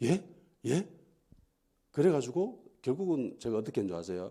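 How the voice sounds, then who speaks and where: A man with a medium pitch speaks at a moderate pace in a dark, mellow tone. His pitch swings very widely, and vocal fry shows through. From Gyeongsang region, South Korea. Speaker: pastor. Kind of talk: sermon. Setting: church.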